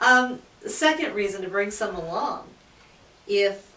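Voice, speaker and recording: Moderate pace, audible room echo and noticeable background noise. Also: woman. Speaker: audiologist. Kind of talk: casual chat. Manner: loud.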